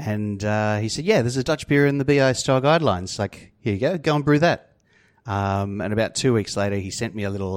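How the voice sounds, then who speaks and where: On a very clean recording with a silent background, a man with an Australian accent talks at a fairly quick pace with lively intonation and a medium pitch. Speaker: brewer. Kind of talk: casual chat.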